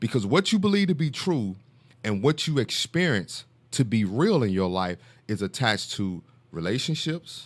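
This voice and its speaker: A man talks at a medium speed, his pitch swinging very widely, on a very clean recording with a silent background. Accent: Southern US. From US South, Mississippi. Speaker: author, speaker and mentor, former pro football player. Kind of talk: casual podcast interview.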